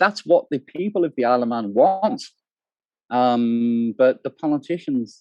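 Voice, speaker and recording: Using very wide pitch swings, a man with a British accent speaks at a fairly slow pace in a dry, close sound with no echo. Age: 60s. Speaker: cannabis activist. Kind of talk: interview. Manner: hesitant.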